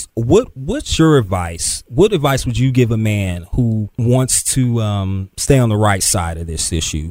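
In a plain, everyday voice, the speaker goes at a fairly slow pace with lively intonation and hardly any pauses. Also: man, medium pitch for a man. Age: 30s. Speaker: podcast host and web producer. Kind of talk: interview; casual chat.

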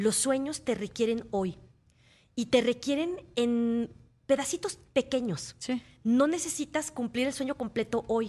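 A woman speaks at a fairly slow pace in a high voice with ordinary pitch variation, against a quiet background. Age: 40s. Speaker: motivational speaker. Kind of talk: interview. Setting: radio studio.

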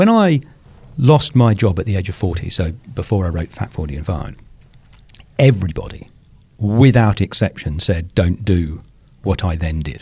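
A man with a dark, mellow tone speaks at a moderate pace, his pitch swinging very widely and his voice somewhat breathy. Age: 50s. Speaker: author and podcaster. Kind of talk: casual chat.

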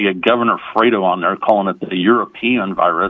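A man talks in a plain, everyday voice at a fairly quick pace. His pitch is fairly low and his intonation fairly even. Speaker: caller. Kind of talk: casual political commentary, joking. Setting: phone call.

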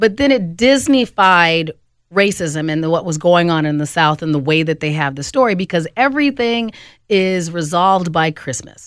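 Over a silent background in a very clean recording, a woman with an American accent talks at a moderate pace in a normal speaking voice, fairly low in pitch, with lively intonation. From Phoenix, Arizona. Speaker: comedian. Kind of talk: radio panel discussion.

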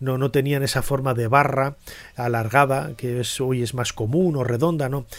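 The recording of this man is very clean, and the background is completely silent. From Spain, León. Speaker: podcast host, Egyptology presenter. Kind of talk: solo educational talk. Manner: halting, many fillers and repetitions.

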